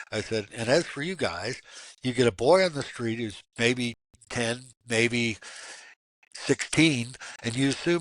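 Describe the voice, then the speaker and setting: Man with an American accent at medium pitch and a moderate pace, against a quiet background. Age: 60s. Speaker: abuse survivor advocate and minister. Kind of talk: interview. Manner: animated.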